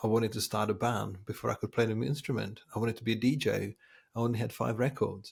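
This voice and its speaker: Racing at a very fast pace, a man of medium pitch talks with vocal fry and fairly even intonation. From Czech Republic. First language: Czech. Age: 40s. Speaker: designer and agency founder. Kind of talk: podcast interview. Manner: repetitive false starts, filler-heavy.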